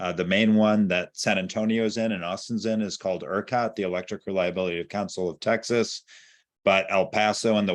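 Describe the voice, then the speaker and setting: An unremarkable speaking voice at a moderate pace, with fairly even intonation and a quiet background. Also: man. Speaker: environmental policy director. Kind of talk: presentation on video call.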